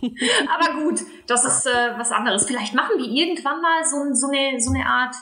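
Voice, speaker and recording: Audible echo from the room colors the recording. The voice belongs to a woman. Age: 20s. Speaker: podcast co-host, marketing expert. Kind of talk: casual chat.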